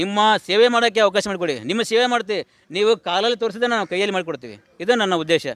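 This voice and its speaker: The sound is dry and close, with no echo. A man speaks at a high pitch, varying it in an ordinary way. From Koppal district, north Karnataka. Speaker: election candidate. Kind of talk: campaign appeal to media.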